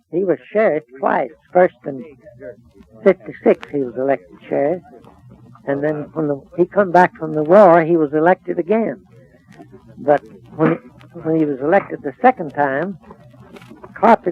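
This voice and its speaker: A man with an American accent, fairly high pitch, ordinary pitch variation and long, frequent pauses, over noticeable background noise. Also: moderate pace. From Texas. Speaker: storekeeper. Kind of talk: interview answer. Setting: old radio recording.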